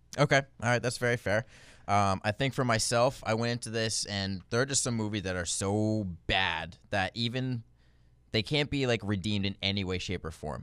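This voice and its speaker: A man talks at a moderate pace in a plain, everyday voice, fairly low in pitch with ordinary pitch variation, on a very clean recording with a silent background. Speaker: movie podcast host. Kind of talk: casual chat.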